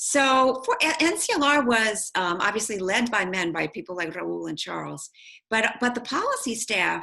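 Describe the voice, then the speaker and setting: A woman with a fairly high pitch and a bright, sharp tone uses vocal fry and very wide pitch swings at a moderate pace. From US, immigrant family. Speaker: policy advocate and author. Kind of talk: interview. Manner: soft-spoken.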